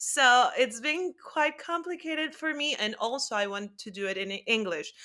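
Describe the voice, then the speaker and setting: In a Spanish accent, a woman raises and projects her high, bright, sharp voice. Her pitch swings very widely. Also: moderate pace. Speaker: actress. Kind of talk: interview.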